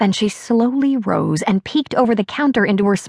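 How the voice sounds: The pitch shifts only in ordinary ways. What you hear is a natural reading voice.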